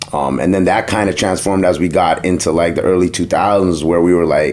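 A man with a Toronto accent speaks with a very deep, low pitch. There is noticeable background noise. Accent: Toronto urban English. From Toronto, Jane and Finch. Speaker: DJ and radio host. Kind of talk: casual interview chat.

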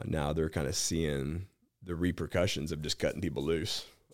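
A man with an American accent speaks at a moderate pace in a very deep, low pitch. Vocal fry runs through his fairly even intonation. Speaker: bounty hunter. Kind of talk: casual chat. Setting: studio.

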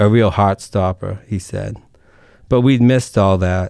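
A man with a Boston accent, fairly low in pitch, at a fairly slow pace. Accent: Boston-area Massachusetts accent, noticeable. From Massachusetts, Merrimack Valley (Lowell). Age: 30s. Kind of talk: radio interview.

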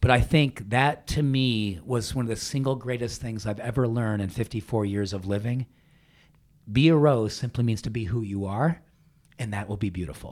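On a very clean recording with a silent background, a man at a medium pitch speaks at a moderate pace with ordinary pitch variation. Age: 50s. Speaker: naturopathic doctor and entrepreneur. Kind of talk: casual interview chat. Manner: animated.

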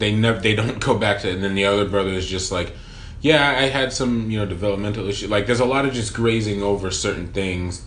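Noticeable background noise sits behind a man's fairly low voice. He talks very fast with ordinary pitch variation. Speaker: podcast co-host. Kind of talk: casual chat.

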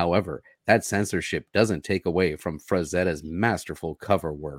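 On a very clean recording with a silent background, a man with a very deep, low voice speaks at a fairly slow pace with ordinary pitch variation. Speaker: comic book co-host. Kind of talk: casual chat.

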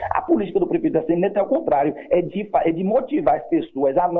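Over noticeable background noise, a high-pitched man speaks at a very fast pace with very wide pitch swings. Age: 30s. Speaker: mayoral candidate. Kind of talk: radio interview. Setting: phone call. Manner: halting.

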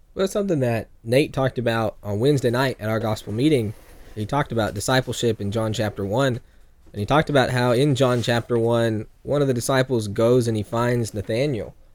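A man speaks with an American accent, in an ordinary speaking voice at medium pitch. His pitch varies in the usual way, and his pace is fairly quick. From California. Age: young. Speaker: evangelist. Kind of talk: casual chat.

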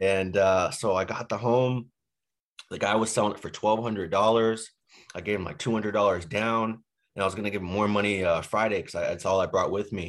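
A man with a plain, everyday voice speaks at a fairly low pitch and a fairly quick pace. His intonation is fairly even against a quiet background. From Boston. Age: 20s. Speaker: real estate investor. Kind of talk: podcast interview. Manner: frequent fillers, casual.

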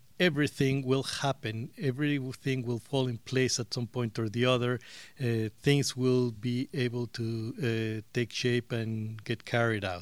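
Fairly slow delivery with a Spanish accent. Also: man. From Mexico. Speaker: interviewee. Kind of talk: interview.

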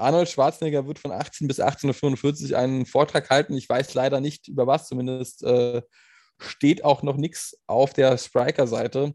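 A man's fairly high-pitched voice with a dark, mellow tone and fairly even intonation at a fairly slow pace, recorded with a dry, close sound with no echo over a quiet background. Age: 30s. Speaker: podcast co-host. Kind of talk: casual chat.

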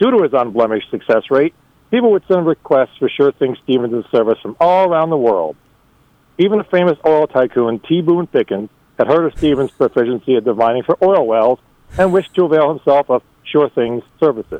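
This man has a plain, everyday voice, fairly high in pitch. He talks at a fairly quick pace with lively intonation. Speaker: storyteller contributor. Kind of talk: reading aloud a humorous story.

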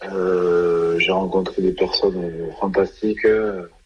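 A man talks very slowly, with noticeable background noise around him. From southwest France, Gironde (Langon). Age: 30s. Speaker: retired rugby player. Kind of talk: radio interview.

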